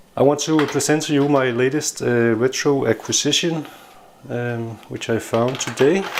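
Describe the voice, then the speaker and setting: A man with a non-native accent talks at a medium pitch and moderate pace. His pitch varies in an ordinary way over noticeable background noise. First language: not English. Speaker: tech hobbyist YouTuber. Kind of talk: casual product review. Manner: hesitant, many filler sounds.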